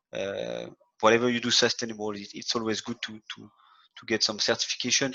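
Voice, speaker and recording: Speaking in a French accent, a man with a fairly low pitch uses monotone, flat intonation and a bright, sharp tone against a quiet background. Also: big swings in loudness. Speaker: hotel sustainability head. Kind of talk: webinar presentation. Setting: online webinar. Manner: halting, many repetitions.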